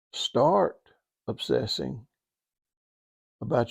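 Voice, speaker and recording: A man at a very slow pace with a Southern US accent, in a dry, close sound with no echo. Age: 70s. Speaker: podcast host and author. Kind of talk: motivational talk. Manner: animated.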